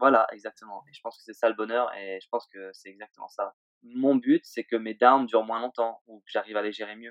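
At a fairly quick pace, a man speaks at a medium pitch with monotone, flat intonation. His loudness swings a great deal. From Réunion, then Switzerland from age 10. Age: 20s. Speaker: pro snowboarder. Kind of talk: interview. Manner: halting.

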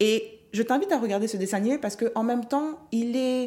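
A dark, mellow tone at a moderate pace, on a very clean recording with a silent background. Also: woman. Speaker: podcast host, mindset coach. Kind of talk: solo motivational monologue. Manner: improvised, conversational.

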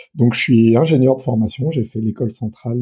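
Medium in pitch, a man's voice moves with ordinary pitch variation. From France, Burgundy (Mâcon, Saône-et-Loire). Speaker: association director. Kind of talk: interview. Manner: hesitant, many fillers.

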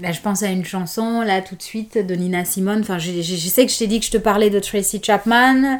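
A woman at a medium pitch speaks with fairly even intonation over noticeable background noise. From Guinea, Conakry. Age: 30s. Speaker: mother and podcast guest. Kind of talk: casual interview.

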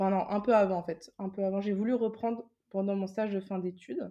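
This voice belongs to a woman. She pitches her speech in a middle register. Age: 20s. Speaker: self-published novelist and illustrator. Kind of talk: interview.

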